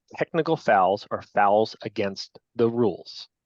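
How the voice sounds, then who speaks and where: Speaking with a Long Island accent, a man has a medium pitch. The background is quiet, and the sound is dry and close with no echo. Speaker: lacrosse officials trainer. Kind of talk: training lecture. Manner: casual, conversational.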